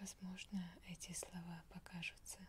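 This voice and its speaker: A woman whispering in a soothing tone, with light background noise. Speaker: relaxation video host. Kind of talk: soft-spoken relaxation talk. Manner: slow soothing ASMR whisper.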